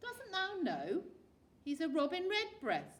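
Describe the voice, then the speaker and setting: Put on as a character voice, this gruff delivery sits at an extremely high pitch and moves at a fairly slow pace. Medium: read story. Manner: curt, gruff.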